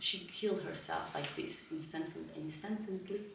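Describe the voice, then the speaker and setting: A woman with a Portuguese accent speaks at a fairly slow pace in a monotone, flat intonation, with audible room echo and noticeable background noise. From northern Portugal. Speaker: spiritual healing teacher. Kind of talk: lecture. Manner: halting, with frequent fillers.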